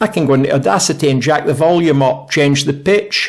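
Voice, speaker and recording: A man's fairly high-pitched voice with a Scottish accent and ordinary pitch variation. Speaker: YouTuber reviewing audio gear. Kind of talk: casual product review talk. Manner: conversational, self-interrupting.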